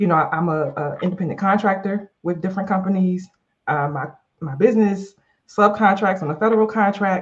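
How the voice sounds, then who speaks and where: A woman talks at a fairly quick pace in a somewhat breathy voice of medium pitch. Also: ordinary pitch variation. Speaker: life and leadership coach, podcast co-host. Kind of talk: casual chat.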